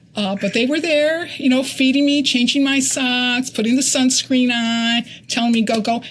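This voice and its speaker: Speech comes at a moderate pace with hardly any pauses and very even loudness. The intonation is fairly even, with noticeable background noise. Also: woman, high pitch for a woman. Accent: American. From Connecticut. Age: 60s. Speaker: ultrarunner. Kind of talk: interview. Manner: halting.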